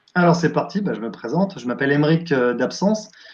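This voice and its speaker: Noticeable background noise sits behind a man's voice. He speaks at a fairly high pitch with lively intonation. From France, Champagne (Épernay). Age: 40s. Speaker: entertainer and wedding DJ. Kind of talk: interview. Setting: live video stream. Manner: hesitant with many fillers.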